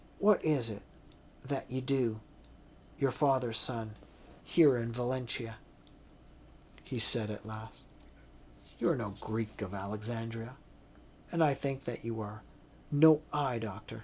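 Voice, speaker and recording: In a put-on character voice, a man growls in a raspy, medium-pitched tone with ordinary pitch variation, speaking fairly slowly with long, frequent pauses over clear background noise. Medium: read story. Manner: sullen, growling.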